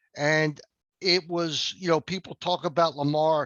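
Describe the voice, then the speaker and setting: Fairly high in pitch, a man talks with monotone, flat intonation. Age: 70s. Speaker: sports podcast host. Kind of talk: casual post-game sports chat.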